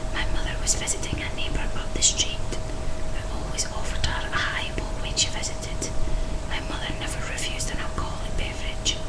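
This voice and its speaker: Whispered words come at a moderate pace, with clear background noise around them. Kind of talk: horror story narration, read aloud.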